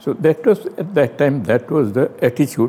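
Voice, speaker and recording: A man speaks in a dark, mellow tone. His pitch swings very widely. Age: 90s. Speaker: partition survivor. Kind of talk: testimony. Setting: at home.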